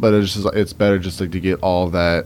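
A man with a Cajun accent talks at a very fast pace in a very deep, low pitch with monotone, flat intonation. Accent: Southern Louisiana Cajun. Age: 20s. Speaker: guest, young National Guard member. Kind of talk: radio interview.

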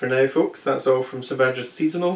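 A man with an American accent, medium pitch, a moderate pace and an unremarkable speaking voice. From New Hampshire, US. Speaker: podcast host. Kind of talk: interview; scripted outro.

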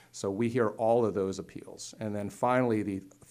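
Speaking in an American accent, a man keeps his intonation fairly even. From north central Pennsylvania, Lycoming County. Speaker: judge and court candidate. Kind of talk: interview.

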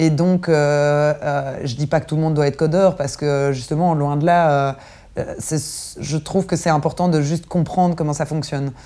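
This woman's voice has a very deep, low pitch and a dark, mellow tone. She speaks at a moderate pace with fairly even intonation. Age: 30s. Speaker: arts festival programmer. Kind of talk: interview.

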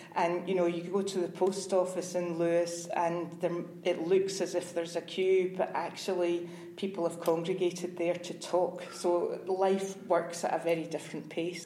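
Amid noticeable background noise and audible room echo, a woman with a Scottish accent and fairly low pitch talks at a moderate pace in a monotone, flat intonation. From Scotland, Glasgow. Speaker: IT sales executive. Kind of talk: interview. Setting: hotel.

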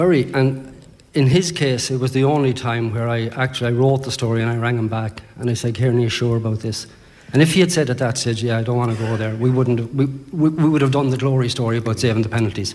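A man with an Irish accent talks at a very fast pace, at medium pitch and with fairly even intonation. Noticeable background noise runs under his voice. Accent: Irish (Sligo). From Ireland, Sligo. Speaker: sports author. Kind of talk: live interview at book launch. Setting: hotel ballroom with audience.

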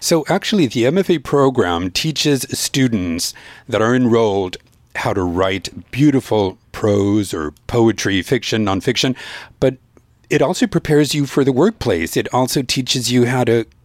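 A man talks with lively intonation. He has a normal speaking voice, medium in pitch. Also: moderate pace. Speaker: radio host. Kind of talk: radio show hosting. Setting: radio studio.

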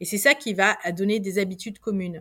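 Speaking at a fairly quick pace, a woman at medium pitch keeps a fairly even intonation on a very clean recording with a silent background. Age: 50s. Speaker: researcher and lecturer. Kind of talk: interview. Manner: halting.

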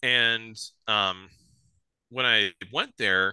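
A man talks with an Upper Midwest accent in a bright, sharp tone. The sound is dry and close with no echo, against a quiet background. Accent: Upper Midwest American. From South Dakota, near Sioux Falls. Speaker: bowhunter. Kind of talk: casual chat.

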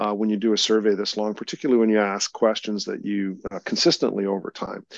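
With a Canadian accent, a man talks at a fairly quick pace in a dry, close sound with no echo. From Canada. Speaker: polling company executive. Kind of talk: interview. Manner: halting.

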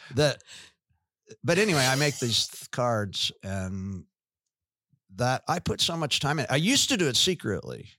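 Medium-pitched male voice with a bright, sharp tone, very wide pitch swings, a moderate pace and long, frequent pauses, on a very clean recording with a silent background. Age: 60s. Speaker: pastor. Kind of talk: casual chat.

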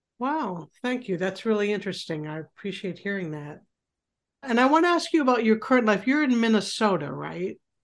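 A woman with an American accent talks at a fairly quick pace and fairly high pitch, with very wide pitch swings and big swings in loudness over a quiet background. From US Midwest. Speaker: podcast host and author. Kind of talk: interview.

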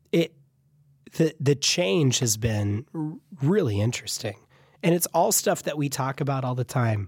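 A man speaks in a somewhat breathy voice with lively intonation. Long, frequent pauses break up his speech. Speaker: podcast co-host and instructor. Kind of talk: casual chat.

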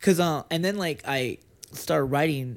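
A man with an American accent speaks at a moderate pace on a very clean recording with a silent background. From Lynn, Massachusetts (Boston area). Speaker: screenwriter. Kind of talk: casual chat.

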